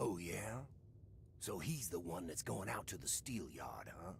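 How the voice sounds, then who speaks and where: A man puts on a character voice with a menacing tone, very deep and low in pitch, at a moderate pace over clear background noise. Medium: video game. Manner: taunting, menacing.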